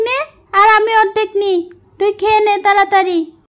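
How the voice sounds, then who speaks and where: A female-sounding cartoonish character voice, extremely high-pitched for a woman, delivers its lines in a monotone, flat way. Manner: soft, earnest.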